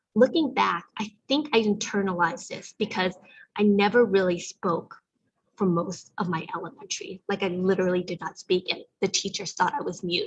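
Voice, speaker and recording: A somewhat breathy woman with an American accent, medium pitch, ordinary pitch variation and a moderate pace. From US (raised from infancy, Vietnamese refugee family). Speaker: community event host. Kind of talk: live online event talk.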